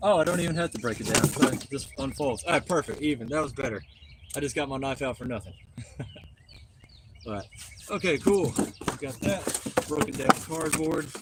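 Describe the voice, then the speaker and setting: A man speaks at a moderate pace with a Southern accent, his pitch fairly high for a man. Long, frequent pauses break up his speech over noticeable background noise. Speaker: litter cleanup streamer. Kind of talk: live stream narration. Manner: casual, filler-heavy.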